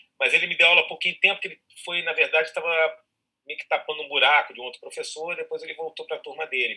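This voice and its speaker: A man races along at a very fast pace, his loudness swinging widely. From Rio de Janeiro, Ilha do Governador. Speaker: actor. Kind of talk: casual chat.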